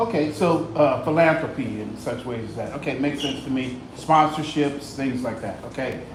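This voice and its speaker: A man with a fairly high voice talks at a moderate pace with ordinary pitch variation and hardly any pauses. Noticeable background noise and audible room echo fill the recording. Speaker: audience member asking questions. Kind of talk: Q&A questions. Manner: loud.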